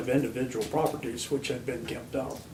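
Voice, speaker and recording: With an American accent, a man talks at a medium pitch and with fairly even intonation, with audible room echo and noticeable background noise. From Virginia (Harrisonburg), US South. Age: 60s. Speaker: local historian. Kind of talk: interview.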